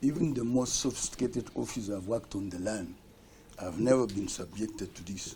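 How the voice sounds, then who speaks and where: A somewhat breathy voice with a dark, mellow tone swings widely in loudness amid audible room echo. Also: man, fairly low pitch for a man, ordinary pitch variation. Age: 70s. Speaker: accused person testifying in court. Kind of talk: court testimony. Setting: courtroom.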